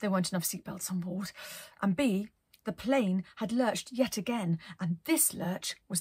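The recording features an unforced reading voice.

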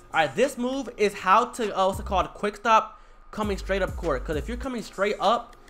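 A fairly quick pace over music in the background. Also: man. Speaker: gaming tutorial youtuber. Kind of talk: casual slang. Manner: fast talker.

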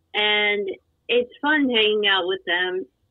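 At a very slow pace, a woman talks with a fairly high pitch and fairly even intonation. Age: 20s. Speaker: guest with epilepsy. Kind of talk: casual chat.

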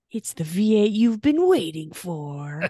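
A female-sounding voice in a put-on character voice speaks at a fairly slow pace. The pitch sits at a medium level for a woman. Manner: dramatic, announcer-like.

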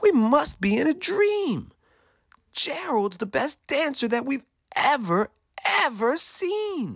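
A man uses a put-on character voice, extremely high in pitch with big swings up and down. He talks slowly with vocal fry and a fairly bright tone.

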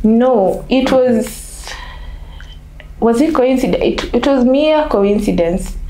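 A woman with a high-pitched voice speaks at a very slow pace, leaving long, frequent pauses, with audible room echo and light background noise. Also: ordinary pitch variation. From Kenya, Nairobi. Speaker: basketball national team manager. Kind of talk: interview. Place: home room.

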